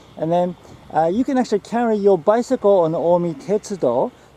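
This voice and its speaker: With a Japanese accent, a man speaks with lively intonation, and the sound is dry and close with no echo. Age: 50s. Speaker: health author and biohacker. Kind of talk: casual talk to camera while walking. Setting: outdoors.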